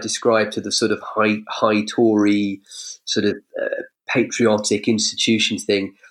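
A man with an English accent. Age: 40s. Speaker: political commentator. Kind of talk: casual chat. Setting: video call.

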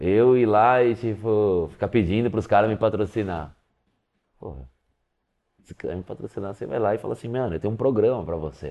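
Speaking at a fairly quick pace yet with long, frequent pauses, a man with a fairly low pitch uses lively intonation and big swings in loudness. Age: 40s. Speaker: professional skateboarder. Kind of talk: casual interview.

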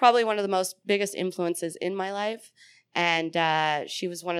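In a very clean recording with a silent background, a woman with a normal speaking voice talks fairly quickly at a fairly low pitch. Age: 30s. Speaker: comedian and military veteran. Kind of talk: casual chat.

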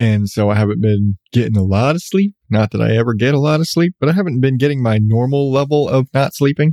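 Recorded with a dry, close sound and no echo, a man speaks at a fairly quick pace in a medium pitch with a dark, mellow tone. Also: ordinary pitch variation.

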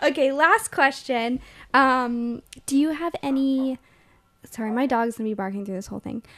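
At a moderate pace, a woman speaks in a high pitch with ordinary pitch variation against a quiet background. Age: 20s. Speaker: podcast host and actor. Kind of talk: casual chat.

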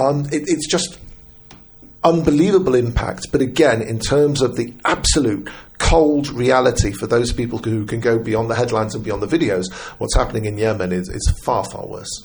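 This man's medium-pitched voice has lively intonation, with noticeable background noise behind it. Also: moderate pace. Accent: British. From Britain. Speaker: journalist. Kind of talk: casual chat.

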